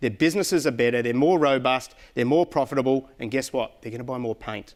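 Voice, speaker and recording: A man with an Australian accent talks at a fairly quick pace. The recording is very clean, with a silent background. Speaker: corporate account manager. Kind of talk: conference presentation. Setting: stage with audience. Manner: loud; animated.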